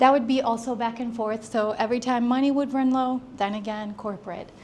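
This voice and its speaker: A woman speaks at a moderate pace with fairly even intonation. Her voice is fairly high and somewhat breathy. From Brazil, raised in the US. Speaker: entrepreneur. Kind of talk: talk to a small audience. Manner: halting.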